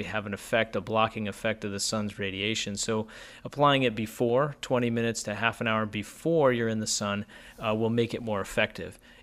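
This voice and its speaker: Delivered at a fairly quick pace with fairly even intonation, this is an unremarkable speaking voice with an American accent. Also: man. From US, northeast Pennsylvania. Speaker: family doctor. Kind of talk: radio interview.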